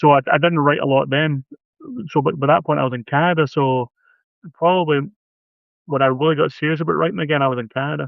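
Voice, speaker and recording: In a Scottish accent, a man with a fairly high pitch talks at a very fast pace, using fairly even intonation and long, frequent pauses. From Scotland. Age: 50s. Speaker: horror author. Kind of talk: casual chat. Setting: live video stream.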